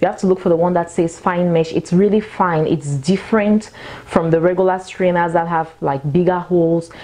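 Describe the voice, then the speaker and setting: A woman's fairly low voice, a normal speaking voice at a moderate pace, with very even loudness. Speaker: cooking show host. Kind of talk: tutorial. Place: kitchen. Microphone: lapel.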